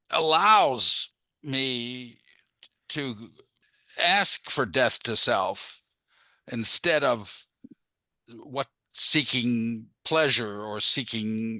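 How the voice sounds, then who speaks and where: Against a quiet background, a man with a medium pitch and a bright, sharp tone speaks at a very slow pace, leaving long, frequent pauses. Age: 70s. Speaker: audience member. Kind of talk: Q&A comment. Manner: halting.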